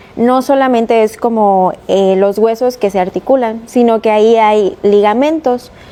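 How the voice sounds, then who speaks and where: A woman's dark, mellow voice, fairly high in pitch, with a Mexican accent, a fairly slow pace, fairly even intonation and hardly any pauses. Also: very even loudness. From Mexico, Veracruz. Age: 20s. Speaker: chiropractor. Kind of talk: interview.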